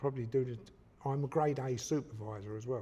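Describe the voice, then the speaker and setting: The pace is moderate. The tone is dark and mellow, and somewhat breathy. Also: man. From East London, England. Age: 70s. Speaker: retired boxing referee. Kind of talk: podcast interview.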